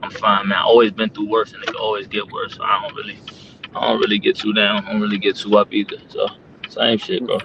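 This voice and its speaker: A man with an American accent talks at a very fast pace over noticeable background noise. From Maryland, Prince George's County (US). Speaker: battle rapper. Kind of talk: casual interview chat.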